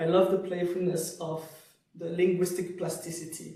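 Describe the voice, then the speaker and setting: Speaking fairly slowly with a French accent, a man talks at a high pitch amid audible room echo. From Switzerland (French-speaking). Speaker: poet and cultural studies lecturer. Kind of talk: Q&A discussion after lecture.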